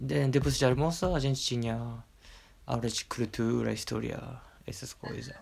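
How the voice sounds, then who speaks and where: A man talks at a moderate pace, stopping often for long pauses. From Japan, Okayama. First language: Japanese (speaking Portuguese). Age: 20s. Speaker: teacher. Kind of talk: casual interview. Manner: halting.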